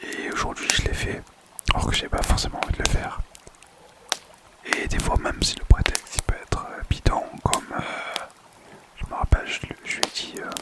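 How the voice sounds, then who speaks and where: A man whispers at a moderate pace, leaving long, frequent pauses. His loudness swings widely, and noticeable background noise sits behind him. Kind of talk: ASMR personal story. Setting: home microphone recording. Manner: whispered; casual, hesitant.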